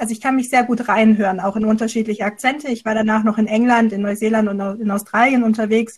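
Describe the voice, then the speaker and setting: A woman speaks very fast with hardly any pauses, her fairly high voice somewhat breathy and her intonation monotone and flat. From near Stuttgart, Swabia. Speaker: podcast co-host. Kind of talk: casual chat.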